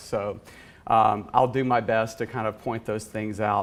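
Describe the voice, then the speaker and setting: A man talks with a Southern US accent. His medium-pitched voice keeps a fairly even intonation. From US South. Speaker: conference speaker, VP of engineering. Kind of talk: conference talk. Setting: conference stage with audience.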